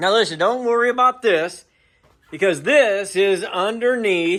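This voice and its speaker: Recorded very cleanly with a silent background, a man speaks at a fairly slow pace with lively intonation. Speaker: camper restoration video host. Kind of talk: casual workshop vlog narration. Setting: workshop during a livestream.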